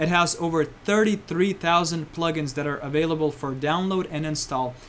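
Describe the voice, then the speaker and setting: An unremarkable speaking voice from a man, fairly high in pitch, fairly quick, with fairly even intonation. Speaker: online marketing instructor. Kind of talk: presentation.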